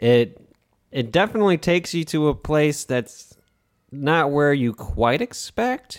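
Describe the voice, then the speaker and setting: A plain, everyday voice carries lively intonation. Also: man. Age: 20s. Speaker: podcast host. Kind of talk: casual chat.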